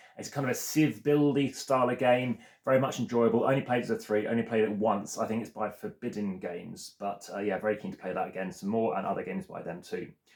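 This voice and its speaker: Noticeable background noise sits behind a man's voice. He talks very fast, with hardly any pauses. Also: medium pitch for a man, lively intonation. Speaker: board game video creator. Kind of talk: solo video commentary.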